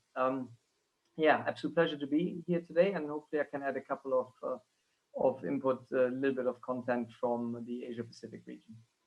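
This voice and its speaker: A man with a German accent speaks at a very fast pace. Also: medium pitch for a man, ordinary pitch variation. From Germany. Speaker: relocation company executive. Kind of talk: panel discussion webinar. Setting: video call.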